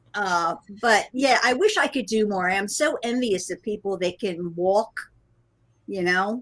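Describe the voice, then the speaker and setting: With a normal speaking voice, a woman speaks at a fairly slow pace and medium pitch, using ordinary pitch variation. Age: 60s. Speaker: guest cruiser. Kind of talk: casual chat.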